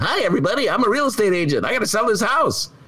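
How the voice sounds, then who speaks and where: Over light background noise, a man does a put-on character voice at a very fast pace, extremely high-pitched, with very wide pitch swings and very even loudness. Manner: pushy, salesman-like.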